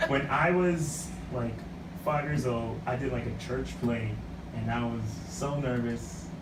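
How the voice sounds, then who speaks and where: A man speaks at a fairly slow pace, leaving long, frequent pauses. Audible room echo and noticeable background noise are present. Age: 20s. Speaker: actor, radio guest. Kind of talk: casual chat. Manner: animated.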